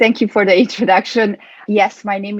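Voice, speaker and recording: A woman with a Hungarian accent. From Hungary, Budapest. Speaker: performance coach. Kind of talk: interview.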